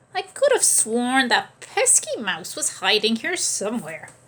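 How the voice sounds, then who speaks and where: A woman uses a put-on character voice, pitched high with very wide pitch swings. Her pace is moderate. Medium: read story.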